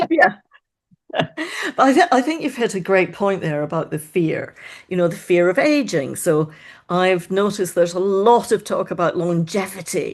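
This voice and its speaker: A woman with a Scottish accent speaks at a moderate pace in a medium pitch. Her intonation is lively, and the background is quiet. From Scotland. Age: 60s. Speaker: mind-body coach. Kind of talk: podcast interview.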